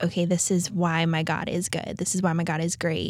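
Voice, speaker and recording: Her pitch is fairly low for a woman. The intonation stays fairly even. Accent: American. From US West, South Lake Tahoe, California. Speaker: stay-at-home mom sharing trauma story. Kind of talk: testimony. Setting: studio. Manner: halting with fillers.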